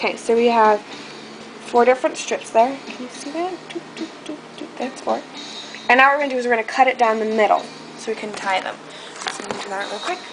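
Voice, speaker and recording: Music plays behind a woman speaking at a high pitch and a very fast pace, broken by long, frequent pauses. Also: ordinary pitch variation, big swings in loudness. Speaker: video blogger. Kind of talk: tutorial. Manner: casual, hesitant with fillers.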